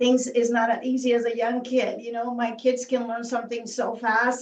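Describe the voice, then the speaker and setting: A woman's high-pitched voice at a moderate pace, with a Spanish accent. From Mexico. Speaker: physician assistant. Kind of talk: panel discussion. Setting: video call. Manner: halting.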